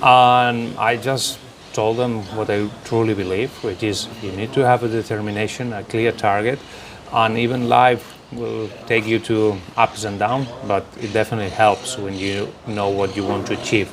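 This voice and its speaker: Monotone, flat intonation against noticeable background noise. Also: man, fairly low pitch for a man, moderate pace. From Barcelona, Spain. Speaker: football coach. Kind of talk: interview.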